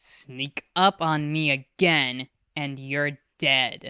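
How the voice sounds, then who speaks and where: A put-on character voice growls at a low-to-middle pitch and a very slow pace. The recording is very clean, with a silent background. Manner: growling, menacing.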